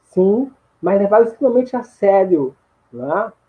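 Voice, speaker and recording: A man talks in a high-pitched voice. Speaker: history teacher in training. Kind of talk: online lecture. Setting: live stream. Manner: halting, many repetitions.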